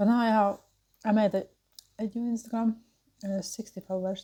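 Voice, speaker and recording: The voice is dark, mellow and somewhat breathy, delivered at a moderate pace in a monotone, flat intonation. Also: woman. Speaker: mukbang and burping YouTuber. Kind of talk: casual chat while eating and drinking. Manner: hesitant, filler-heavy.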